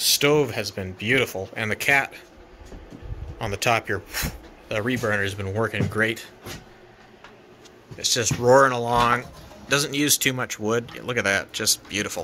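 There are long, frequent pauses as a man speaks at a moderate pace with fairly even intonation. Light background noise can be heard. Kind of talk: casual vlog chat. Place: workshop. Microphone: phone near.

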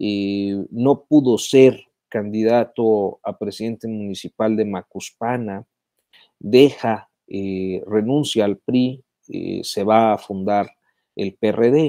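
Against a quiet background, a man with a fairly low pitch and a dark, mellow tone speaks at a very slow pace with fairly even intonation, the sound dry with no echo. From Mexico. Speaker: journalist hosting a live news commentary stream. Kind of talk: live-stream commentary and chat reading. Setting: live online video stream. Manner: halting, many filler sounds. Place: home room. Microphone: earbuds.

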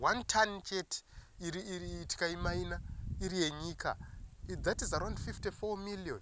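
Speaking at a fairly slow pace, a man has a Zimbabwean accent. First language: Shona. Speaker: political commentator. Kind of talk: political commentary monologue. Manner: halting with many fillers.

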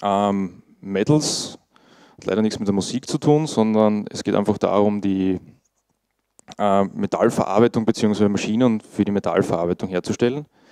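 In an Austrian accent, a man speaks fairly slowly at a fairly low pitch with a dark, mellow tone and ordinary pitch variation, the sound dry with no echo against a quiet background. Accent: Austrian German, noticeable dialect. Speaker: IT monitoring specialist, conference speaker. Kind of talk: conference talk. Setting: conference stage with audience. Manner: casual, informal. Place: meeting room.

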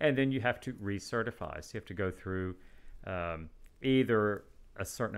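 A man with a West Texas accent talks at a moderate pace with ordinary pitch variation in a very clean recording with a silent background. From West Texas (Midland). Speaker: radiation oncologist. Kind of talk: podcast interview.

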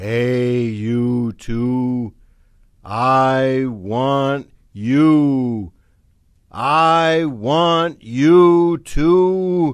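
A man uses a put-on character voice at a medium pitch. He goes at a very slow pace, with ordinary pitch variation. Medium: read story.

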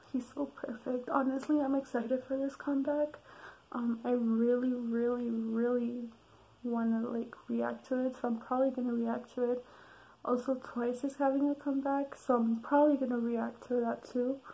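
A quiet whisper carries on at a moderate pace. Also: woman. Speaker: vlogger. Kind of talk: casual talk to camera. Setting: late at night, recorded at home. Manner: whispered, quiet. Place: home room. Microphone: webcam.

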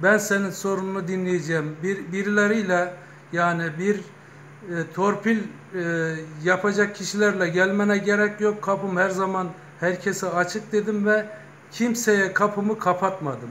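Over light background noise, a man speaks at a high pitch and a fairly slow pace with fairly even intonation. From Turkey, Kozan (Adana); Turkey. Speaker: retired bank manager and local party official; local politician. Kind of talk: interview. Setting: news office visit. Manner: hesitant with filler sounds. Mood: earnest, proud. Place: shop. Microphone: phone near.

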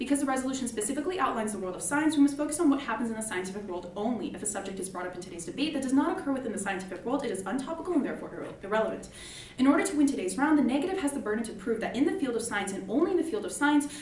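The speech comes very fast, with very wide pitch swings and big swings in loudness, in audible room echo and light background noise. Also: woman, high pitch for a woman. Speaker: student debater. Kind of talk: debate speech. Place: classroom.

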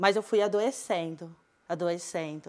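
A woman speaks against a quiet background. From Brazil, interior of São Paulo state (Sertãozinho); São Paulo state, Brazil. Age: 20s. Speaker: teacher. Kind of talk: personal testimony talk. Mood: earnest, reflective, personal. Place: studio.

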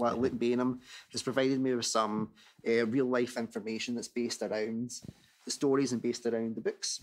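A man speaks with a Scottish accent at a fairly quick pace. His intonation is monotone and flat. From Scotland. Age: 30s. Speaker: podcast host and Thomas fan; podcast host. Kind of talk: casual chat. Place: home room. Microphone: studio mic.

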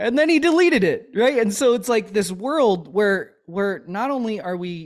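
A man's pitch swings very widely as he talks at a fairly slow pace. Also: quiet background. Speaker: chiropractor and army veteran; podcast host, chiropractor as guest mentor. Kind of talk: casual interview chat. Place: home room. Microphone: studio mic.

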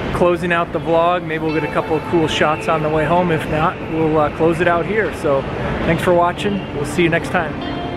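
At a moderate pace and with hardly any pauses, a man speaks over music in the background. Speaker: travel vlogger. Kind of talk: casual vlog chat. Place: station. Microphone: phone near.

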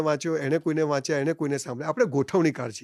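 A man with an unremarkable speaking voice, recorded with a dry, close sound and no echo. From Gujarat, India (Palanpur). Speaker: motivational speaker. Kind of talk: interview.

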